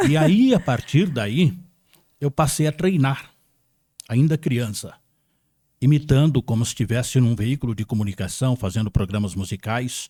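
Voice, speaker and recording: A man's somewhat breathy, dark, mellow voice with lively intonation and long, frequent pauses, dry and close with no echo. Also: medium pitch for a man, moderate pace. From Brazil, São Paulo state interior. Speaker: radio broadcaster. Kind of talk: interview.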